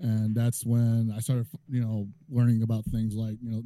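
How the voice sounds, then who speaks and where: Speaking at a very fast pace, a man has a medium pitch and a dark, mellow tone. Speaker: fighting game commentator. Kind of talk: casual chat. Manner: loud.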